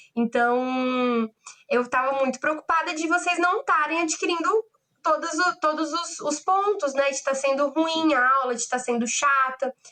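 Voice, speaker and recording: Projecting a raised voice, a woman speaks at a fairly slow pace in a high pitch, with a bright, sharp tone and ordinary pitch variation. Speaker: law lecturer. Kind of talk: online lecture. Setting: online class.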